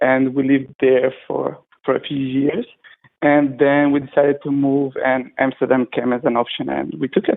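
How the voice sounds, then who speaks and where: A man speaks in a monotone, flat intonation at a moderate pace. His pitch is medium, and he has a non-native accent. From Macedonia. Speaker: web and app developer. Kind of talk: casual chat. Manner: halting. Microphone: lag on the line.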